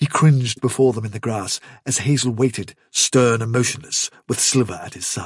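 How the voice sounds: Intonation stays fairly even in a natural reading voice.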